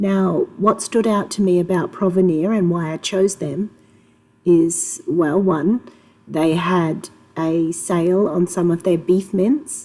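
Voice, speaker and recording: Speaking very slowly with an Australian accent, a woman keeps a medium pitch and fairly even intonation. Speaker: homemaker. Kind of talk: casual talk to camera.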